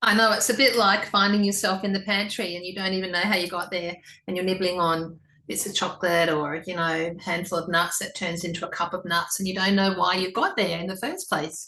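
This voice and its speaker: An Australian-accented woman at medium pitch, fairly quick and fairly even in intonation, with a bright, sharp tone. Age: 60s. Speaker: interviewer, Pilates teacher. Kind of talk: interview.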